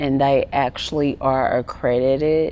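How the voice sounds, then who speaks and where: Speaking at a fairly slow pace, a woman has a very deep, low pitch. She talks with a Southern US accent. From Arkansas, US South. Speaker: wellness coach and gerontologist. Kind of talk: interview.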